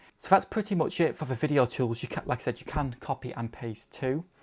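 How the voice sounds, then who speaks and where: A somewhat breathy man talks at a fairly quick pace. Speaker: drone video creator. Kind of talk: tutorial. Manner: casual, many fillers.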